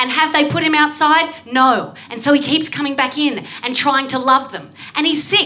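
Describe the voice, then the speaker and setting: In an Australian accent, a woman projects a raised, high-pitched voice at a moderate pace with fairly even intonation, amid noticeable background noise. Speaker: comedian guest. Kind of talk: comedy panel show. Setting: recorded before a live audience.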